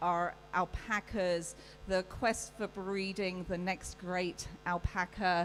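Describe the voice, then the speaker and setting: Speaking very slowly with a British accent, a woman keeps her intonation fairly even. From UK. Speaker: livestock show judge. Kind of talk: welcome speech.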